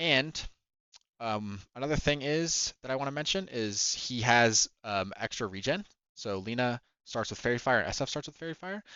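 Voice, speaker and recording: Speaking with lively intonation at a moderate pace, a man has a medium pitch. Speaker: gaming video creator. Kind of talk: tutorial. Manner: halting, with fillers and self-corrections; casual.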